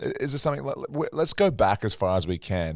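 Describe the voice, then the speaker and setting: An Australian-accented man at a very fast pace, on a very clean recording with a silent background. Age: 30s. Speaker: podcast host. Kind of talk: podcast interview.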